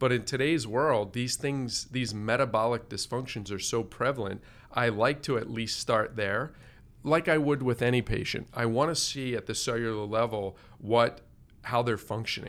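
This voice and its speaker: An ordinary speaking voice from a man at medium pitch, with fairly even intonation and a moderate pace. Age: 50s. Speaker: integrative medicine doctor. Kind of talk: interview.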